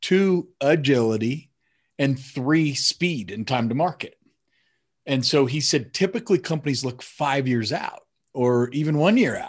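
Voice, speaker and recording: A man with an American accent uses a normal speaking voice, pitched fairly high. He talks at a fairly slow pace over a quiet background. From Colorado, US. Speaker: sales podcast host, tech CEO. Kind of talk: casual interview chat.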